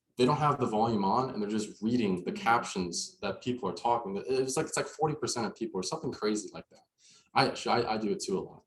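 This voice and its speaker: A man at medium pitch talks at a very fast pace, somewhat breathy. His pitch swings very widely and his loudness changes greatly. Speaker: social media marketing presenter. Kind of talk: workshop presentation. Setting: in-person workshop also streamed on video call.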